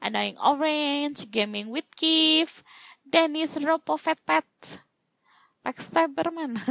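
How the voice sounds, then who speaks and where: With a bright, sharp tone and a high pitch, a woman speaks very slowly with very wide pitch swings in a dry, close sound with no echo. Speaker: gaming YouTuber. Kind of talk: gaming let's-play commentary. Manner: animated.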